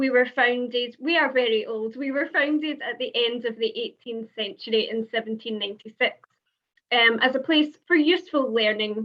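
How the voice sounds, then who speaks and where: Speaking with a Scottish accent, a woman talks at a moderate pace in a high pitch with ordinary pitch variation. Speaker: university international officer. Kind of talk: presentation.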